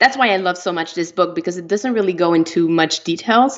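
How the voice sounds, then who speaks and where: A woman's fairly low voice with a French Canadian accent. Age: 30s. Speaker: author. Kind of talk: interview. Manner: hesitant, many fillers.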